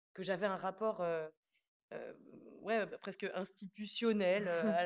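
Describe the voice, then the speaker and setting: A woman speaks at a medium pitch. Her delivery is very slow and flat, in a monotone. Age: 20s. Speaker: stage actress. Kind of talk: interview. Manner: halting, many hesitations.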